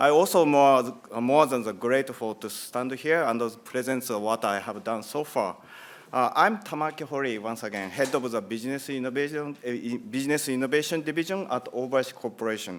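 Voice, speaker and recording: A man with a Japanese accent, ordinary pitch variation and a fairly quick pace. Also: medium pitch for a man. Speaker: company executive. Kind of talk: conference presentation. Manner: halting.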